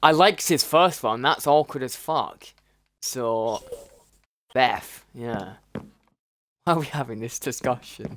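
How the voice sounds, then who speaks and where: Speaking at a fairly slow pace with long, frequent pauses, a man with a British accent uses lively intonation at a fairly high pitch. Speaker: gaming streamer. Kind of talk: casual chat. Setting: video call. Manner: animated.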